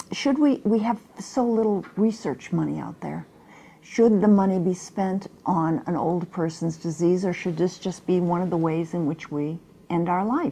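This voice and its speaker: With a dark, mellow tone, a woman speaks at a fairly low pitch and a moderate pace with ordinary pitch variation. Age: 70s. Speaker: talk show host. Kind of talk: interview.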